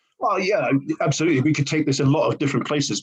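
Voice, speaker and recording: A man talks very fast against noticeable background noise. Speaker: learning and development trainer. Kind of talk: conversational podcast discussion.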